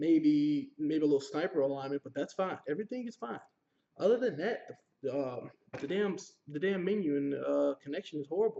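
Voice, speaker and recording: Fairly high in pitch, a man speaks at a fairly quick pace with lively intonation. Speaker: gaming youtuber. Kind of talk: game review. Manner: fast; animated.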